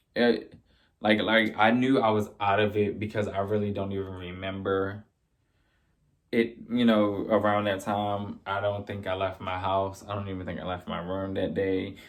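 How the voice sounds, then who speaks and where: Speaking at a moderate pace, a man keeps a monotone, flat intonation in a fairly low pitch. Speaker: video blogger. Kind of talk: personal testimony. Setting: live stream. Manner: loud.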